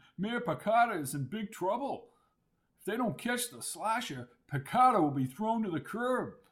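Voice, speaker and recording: Putting on a character voice, a man speaks at a high pitch and moderate pace, with very wide pitch swings and big swings in loudness. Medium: read story. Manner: good-humored, teasing.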